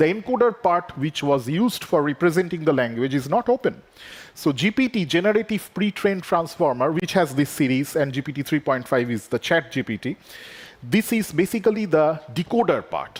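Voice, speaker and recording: With a Bengali accent, a man talks at a fairly quick pace. His pitch swings very widely, and the sound is dry and close with no echo. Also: fairly high pitch for a man. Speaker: AI researcher. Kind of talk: conference keynote talk.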